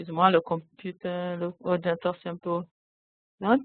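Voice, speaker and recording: Speaking at a very slow pace, a woman with a non-native accent has a fairly low pitch. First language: not French (speaking French). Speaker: convention secretariat staff, system developer. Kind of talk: webinar software demonstration. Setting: online webinar. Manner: halting.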